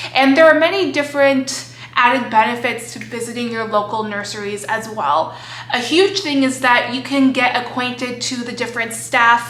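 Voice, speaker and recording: In a room with audible echo and noticeable background noise, a woman with an American accent speaks in an animated tone at a high pitch with ordinary pitch variation. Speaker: plant hobby youtuber. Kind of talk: casual vlog tutorial.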